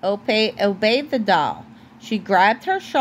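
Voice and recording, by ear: Someone reads the text aloud. The voice sounds natural.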